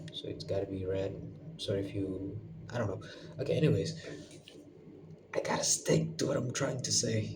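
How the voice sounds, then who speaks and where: The speaker goes at a moderate pace, stopping for long, frequent pauses. Noticeable background noise sits behind the voice. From Indonesia (West Sumatra). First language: Minangkabau / Indonesian. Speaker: university student vlogger. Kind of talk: casual monologue vlog. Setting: bedroom with red lamp. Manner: halting, hesitant with fillers.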